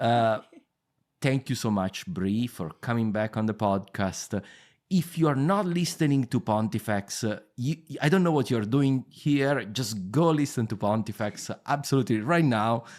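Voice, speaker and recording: In a very clean recording with a silent background, a man with a strong Italian accent talks at a moderate pace with lively intonation. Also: medium pitch for a man. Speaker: history podcast host. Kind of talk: interview. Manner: halting.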